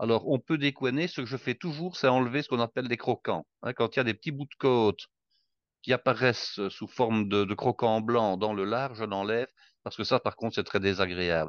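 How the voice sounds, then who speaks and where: A man at a fairly quick pace with ordinary pitch variation, the sound dry and close with no echo over a quiet background. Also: medium pitch for a man. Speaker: cook sharing recipes. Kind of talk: casual chat.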